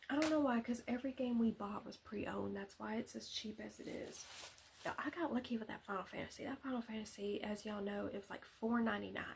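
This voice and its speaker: A soft-spoken woman with a fairly high pitch and a fairly quick pace. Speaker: ASMR content creator. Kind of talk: casual talk to camera. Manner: soft-spoken, rambling.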